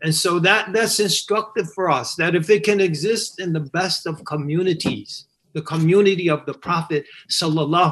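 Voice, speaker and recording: A man speaks at a moderate pace in a high voice with lively intonation. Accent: American. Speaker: imam and scholar. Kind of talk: panel discussion.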